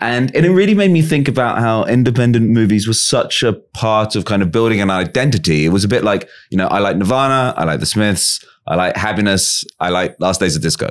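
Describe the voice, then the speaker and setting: Lively intonation in an English accent, a fairly quick pace and very even loudness on a very clean recording with a silent background. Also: man, medium pitch for a man. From England. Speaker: podcast host. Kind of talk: interview; scripted introduction.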